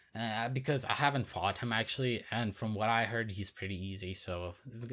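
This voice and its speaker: The recording of this man is very clean, with a silent background. He speaks at a moderate pace in a bright, sharp tone, his fairly low pitch held in fairly even intonation. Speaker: gaming youtuber. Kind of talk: casual video commentary.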